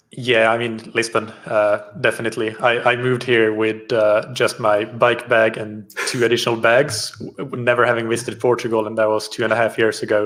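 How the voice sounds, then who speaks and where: A man with a Swedish accent speaks at a fairly quick pace with hardly any pauses. His intonation is monotone and flat. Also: medium pitch for a man. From Finland. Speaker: triathlon coach. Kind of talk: interview.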